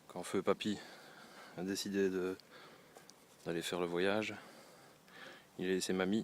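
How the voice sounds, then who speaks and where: Very deep and low, a man's voice moves at a fairly slow pace in a flat monotone, broken by long, frequent pauses. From Belgium. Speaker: garden vlogger. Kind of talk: casual garden tour.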